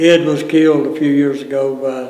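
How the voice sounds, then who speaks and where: A man with an Appalachian accent, fairly high pitch and monotone, flat intonation over noticeable background noise. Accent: Appalachian Southern US. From US South, North Carolina mountains (Ashe County). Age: 70s. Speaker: retired fire captain. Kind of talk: oral history interview. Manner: halting, many fillers.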